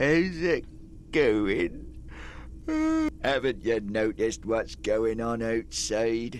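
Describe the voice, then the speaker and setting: A man in a put-on character voice at medium pitch, very slow, with long, frequent pauses and clear background noise. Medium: video game. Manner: coarse, cynical.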